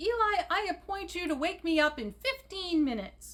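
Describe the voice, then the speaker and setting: A woman uses a put-on character voice, squeaky and extremely high-pitched. She talks at a moderate pace. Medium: read story. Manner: pompous.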